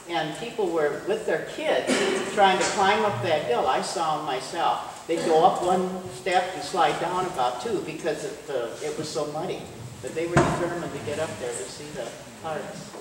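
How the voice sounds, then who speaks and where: A high-pitched man with an American accent talks at a moderate pace with ordinary pitch variation. Noticeable background noise and audible room echo are present. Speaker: local witness sharing memories. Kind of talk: audience testimony. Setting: auditorium with audience. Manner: loud.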